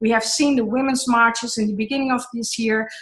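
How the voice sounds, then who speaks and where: In a plain, everyday voice, a woman speaks at a fairly high pitch with ordinary pitch variation. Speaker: online event host, co-founder of women's network. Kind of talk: online group call.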